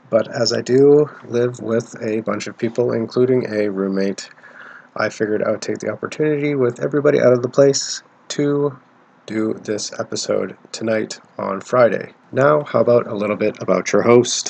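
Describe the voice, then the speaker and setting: At a moderate pace, a soft-spoken man talks with ordinary pitch variation. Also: medium pitch for a man. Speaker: podcast host. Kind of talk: casual podcast monologue. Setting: shared living space. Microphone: close to cheap mic.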